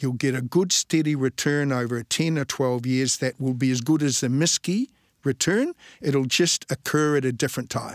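In a New Zealand accent, a man speaks with fairly even intonation and very even loudness. The sound is dry and close, with no echo. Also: medium pitch for a man, moderate pace, very clean recording, silent background. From New Zealand, Invercargill (Southland). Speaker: natural resources fund manager. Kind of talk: interview.

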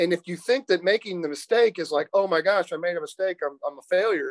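A man speaks with a Midwestern American accent and a high pitch. His intonation is lively, and the sound is dry and close with no echo. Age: 50s. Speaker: accountant and business owner. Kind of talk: interview.

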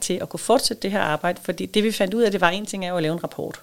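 The intonation is lively. The speaker is a woman. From Denmark, southern Funen. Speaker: head of an industry association secretariat. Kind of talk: interview. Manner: hesitant, many fillers.

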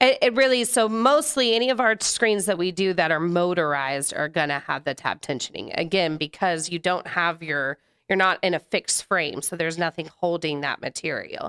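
On a very clean recording with a silent background and a dry, close sound with no echo, a woman with an unremarkable speaking voice talks at a fairly quick pace with lively intonation and hardly any pauses. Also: fairly low pitch for a woman. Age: 30s. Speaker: manufacturer sales representative. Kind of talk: casual interview.

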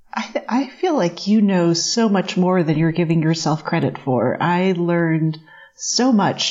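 A plain, everyday voice from a woman, fairly low in pitch, at a fairly slow pace with ordinary pitch variation. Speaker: test cook and TV cooking presenter, guest co-host. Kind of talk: casual chat.

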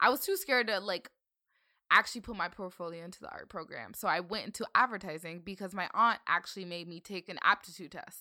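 On a very clean recording with a silent background, a woman with an American accent talks at a very fast pace in a medium pitch with ordinary variation, her tone bright and sharp and her loudness swinging widely. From Northern Virginia, US. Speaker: content creator. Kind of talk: casual chat.

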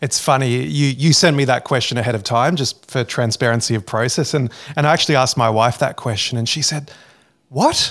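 A man with an Australian accent speaks fairly quickly, with ordinary pitch variation. The recording is very clean, with a silent background. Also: medium pitch for a man. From Sydney, Australia. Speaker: former pastor and teacher, podcaster. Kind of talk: interview.

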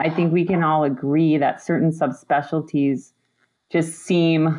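Someone with an American accent speaks at a fairly slow pace with ordinary pitch variation. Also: woman. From Upper Peninsula of Michigan. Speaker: pediatric spine surgeon. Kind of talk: casual chat. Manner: energetic.

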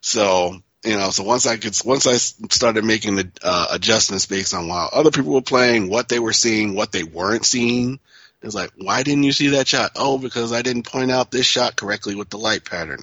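With an ordinary speaking voice, a man talks at a fairly low pitch that varies in an ordinary way. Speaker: pinball industry figure. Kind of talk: casual chat.

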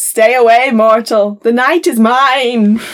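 In a put-on character voice, a woman delivers her lines at a fairly slow pace with a dramatic, theatrical tone and fairly high pitch.

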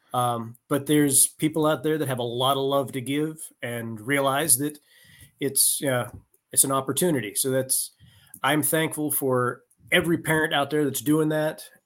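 This man has a normal speaking voice, pitched fairly high, at a moderate pace. His intonation is fairly even, and the recording is very clean with a silent background. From rural Pennsylvania. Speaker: retired army officer and leadership coach. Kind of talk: interview conversation.

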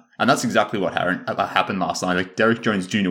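Very fast speech from a man at fairly low pitch, fairly even in intonation, in a very clean recording with a silent background. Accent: Australian. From Australia. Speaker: sports podcast co-host. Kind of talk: casual chat.

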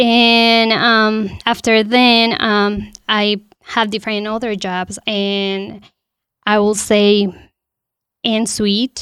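A woman's fairly high voice in a Spanish accent, very slow, with monotone, flat intonation, on a very clean recording with a silent background. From Colombia, Bogotá. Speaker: panel guest, immigrant resident. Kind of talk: personal testimony. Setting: studio.

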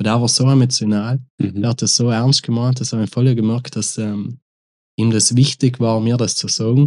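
This man has a dark, mellow tone and a South Tyrolean accent. His intonation stays monotone and flat. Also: quiet background. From South Tyrol, Italy. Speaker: rapper. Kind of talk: casual interview.

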